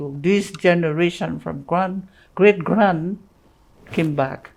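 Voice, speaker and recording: A woman speaks at a very slow pace with a very deep, low pitch. Her pitch variation is ordinary. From St. Lucia. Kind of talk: interview answer.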